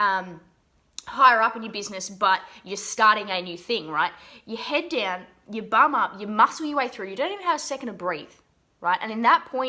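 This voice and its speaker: With an Australian accent, a woman speaks at a fairly quick pace in a fairly high pitch, her animated tone carrying lively intonation and big swings in loudness. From Australia, Geelong. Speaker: business mindset coach. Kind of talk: motivational talk to camera.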